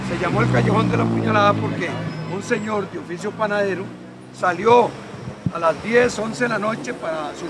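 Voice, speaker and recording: With music in the background and audible room echo, a man speaks at a moderate pace in a high voice with ordinary pitch variation. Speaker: neighborhood historian, doctor. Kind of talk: oral history interview.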